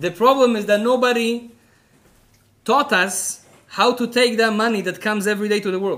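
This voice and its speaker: A man's raised, projected voice, high in pitch, with an Israeli accent and a moderate pace. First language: Hebrew. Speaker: rabbi. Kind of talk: lecture. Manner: animated.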